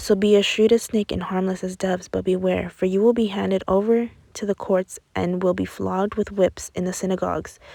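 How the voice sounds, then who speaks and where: A quiet woman's voice, medium-pitched with a dark, mellow tone and monotone, flat intonation at a fairly quick pace, in a very clean recording with a silent background. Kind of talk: Bible reading. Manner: fast in places.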